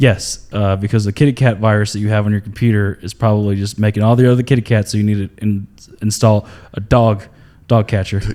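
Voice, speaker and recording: Speaking very fast with an American accent, a man uses a fairly low pitch. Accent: Southern accent, thicker when excited. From North Carolina. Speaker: comedian. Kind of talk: casual chat. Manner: animated.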